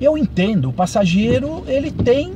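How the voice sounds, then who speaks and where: A man's high voice makes very wide pitch swings as he talks at a fairly slow pace. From Brazil, São Paulo. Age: 60s. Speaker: ride-hailing driver and vlogger. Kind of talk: monologue vlog commentary. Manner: halting, many fillers.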